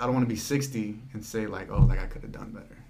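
Audible room echo surrounds a man who talks fairly quickly. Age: young. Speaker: hardware store worker. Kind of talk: casual chat. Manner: halting.

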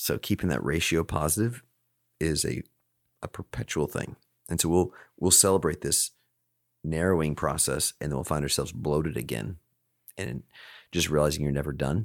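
A man's very deep, low voice with vocal fry, moderate pace, long and frequent pauses, ordinary pitch variation, and a dry, close sound with no echo in a very clean recording with a silent background. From Alaska. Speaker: CEO of a peer advisory organization. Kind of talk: interview conversation.

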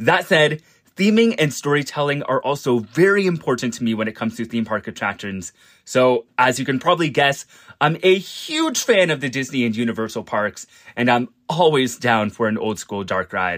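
In a Canadian accent, a man with an unremarkable speaking voice and medium pitch talks at a moderate pace with lively intonation, in a very clean recording with a silent background. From Canada, Ontario. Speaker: podcast contributor, theme park YouTuber. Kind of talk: scripted introduction.

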